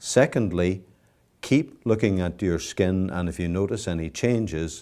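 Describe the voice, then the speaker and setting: A man speaks fairly slowly with a Northern Irish accent. His pitch is very deep and low, and his tone is dark and mellow. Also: very clean recording, silent background. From Northern Ireland, Belfast. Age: 60s. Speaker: cancer survivor. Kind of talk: testimony.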